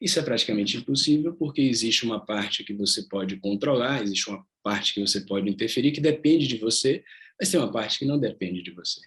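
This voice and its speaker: This man's speech runs very fast. Lively intonation carries it along. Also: medium pitch for a man. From Salvador, Bahia, Brazil. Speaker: yoga teacher. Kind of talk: online workshop talk.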